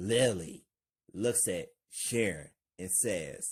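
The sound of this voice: In an unforced reading voice with ordinary pitch variation, the speaker reads against a quiet background.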